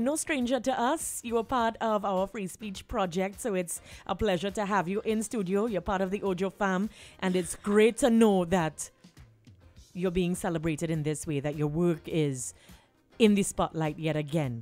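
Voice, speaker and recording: Lively intonation at a moderate pace comes through with music in the background. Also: woman, medium pitch for a woman. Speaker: radio host. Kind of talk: radio interview host.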